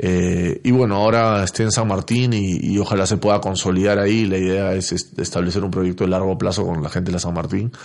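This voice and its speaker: At a fairly quick pace with hardly any pauses, a man with a very deep, low pitch speaks in fairly even intonation. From Peru. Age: 40s. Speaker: former footballer and football pundit. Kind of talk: casual interview.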